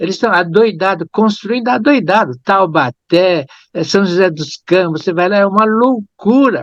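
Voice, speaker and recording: Lively intonation marks this man's high-pitched voice at a moderate pace. The sound is dry and close, with no echo. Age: 70s. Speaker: engineer giving a lecture. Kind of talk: lecture. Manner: halting.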